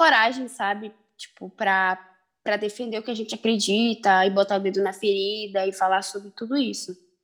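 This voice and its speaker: This is a plain, everyday voice at a moderate pace. The intonation stays fairly even. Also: woman. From Belém, Pará, northern Brazil. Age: 20s. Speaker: rapper and activist. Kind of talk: casual interview.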